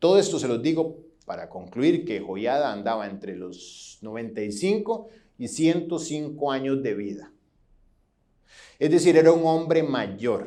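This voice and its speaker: Dark and mellow with vocal fry, a man's fairly high voice makes very wide pitch swings. He speaks at a fairly slow pace amid audible room echo. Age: 40s. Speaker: pastor. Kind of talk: sermon. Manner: halting.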